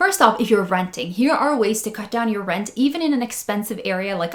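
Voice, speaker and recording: A woman with a Norwegian accent speaks in a fairly high pitch at a fairly quick pace. Her tone is animated and her intonation lively, over noticeable background noise. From Norway, Oslo. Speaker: personal finance YouTuber. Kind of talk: casual advice talk to camera.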